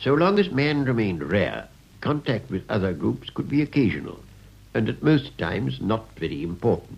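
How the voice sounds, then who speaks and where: This man has a fairly low voice with vocal fry and very wide pitch swings. He talks at a moderate pace. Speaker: lecturer. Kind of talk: lecture. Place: studio. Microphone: old recording.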